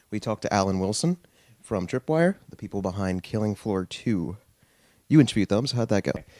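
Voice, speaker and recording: A plain, everyday voice with lively intonation moves at a fairly quick pace, the sound dry and close with no echo on a very clean recording with a silent background. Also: man, fairly low pitch for a man. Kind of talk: casual talk to camera. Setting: in bed, casual talk.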